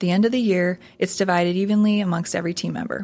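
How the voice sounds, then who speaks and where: Here is a woman with an Upper Midwest accent. Her pitch sits in the medium range. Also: very clean recording, silent background. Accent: Upper Midwest American. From South Dakota, Sioux Falls. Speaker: marketing agency CEO. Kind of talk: casual interview.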